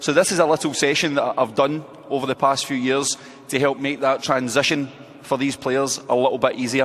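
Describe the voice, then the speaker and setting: A man with a Scottish accent at a fairly quick pace, monotone and flat, against noticeable background noise. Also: fairly high pitch for a man. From Scotland. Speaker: football coach. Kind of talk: coaching clinic presentation. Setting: indoor hall at convention with audience.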